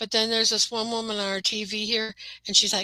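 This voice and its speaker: At a fairly quick pace, a woman with a Midwestern accent speaks in a fairly high, flat, monotone voice, the sound dry and close with no echo. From Midwestern US.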